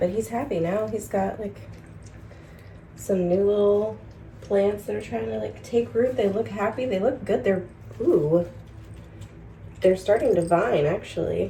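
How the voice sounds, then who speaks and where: Leaving long, frequent pauses, a woman speaks at a fairly slow pace. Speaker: lifestyle vlogger. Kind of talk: casual vlog narration. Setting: at home. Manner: loud.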